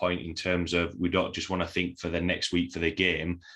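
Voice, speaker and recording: A bright, sharp tone in a Yorkshire accent, flat and monotone, at a moderate pace against a quiet background. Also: man. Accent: broad Yorkshire. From Yorkshire, England. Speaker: podcast host and strength coach. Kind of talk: casual interview chat.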